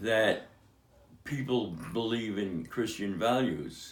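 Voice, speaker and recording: A man's very slow speech with lively intonation and audible room echo. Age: 80s+. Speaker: father of the host, atheist. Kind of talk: interview. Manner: halting.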